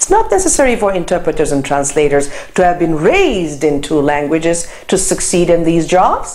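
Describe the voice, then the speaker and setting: A woman with a Turkish accent is heard with audible room echo and noticeable background noise. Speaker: lecturer. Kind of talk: lecture.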